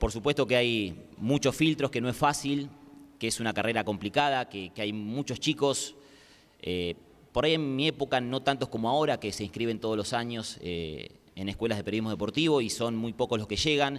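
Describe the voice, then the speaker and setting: An ordinary speaking voice moves at a fairly quick pace. Its pitch variation is ordinary. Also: man, medium pitch for a man. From Argentina, Quilmes; Argentina. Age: 30s. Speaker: sports journalist. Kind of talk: panel discussion. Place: hall. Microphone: handheld.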